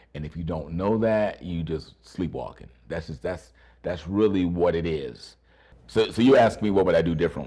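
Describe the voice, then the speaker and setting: Speaking at a moderate pace, a man uses a very deep, low pitch with a dark, mellow tone, vocal fry and ordinary pitch variation. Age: 60s. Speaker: actor and acting teacher. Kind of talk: interview.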